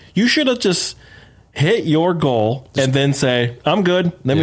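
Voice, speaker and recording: With an American accent, a man talks at a moderate pace and ordinary pitch variation. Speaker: podcast host. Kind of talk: casual chat. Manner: profane, animated.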